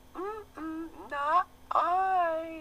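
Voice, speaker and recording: A put-on character voice, squeaky and at an extremely high pitch. Background noise is clearly audible. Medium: read story. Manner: lazy, dismissive.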